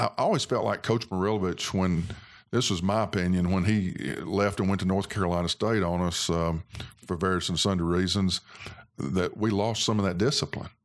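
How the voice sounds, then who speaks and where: A man with an Alabama accent speaks at a fairly quick pace in a very deep, low voice. His loudness stays very even, and his intonation is fairly even. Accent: US Southern (Alabama). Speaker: former college football player. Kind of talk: casual interview. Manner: halting.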